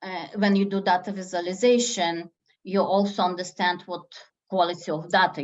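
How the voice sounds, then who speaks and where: A woman speaks with a non-native accent at a fairly low pitch. Her pace is moderate. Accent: foreign accent, noticeable. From former Soviet Union. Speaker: statistician, lecturer. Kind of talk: lecture Q&A on a video meeting.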